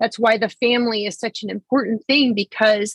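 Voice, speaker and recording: Here is a woman with an ordinary speaking voice and a fairly high pitch. She speaks at a fairly slow pace, and the sound is dry and close, with no echo. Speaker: podcast host. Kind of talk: casual interview.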